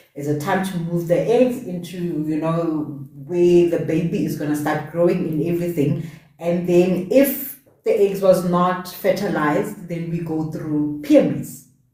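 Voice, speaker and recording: A woman with a non-native accent at a fairly slow pace, fairly low in pitch with ordinary pitch variation, amid audible room echo. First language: not English. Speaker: podcast host. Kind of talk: casual chat. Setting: live stream.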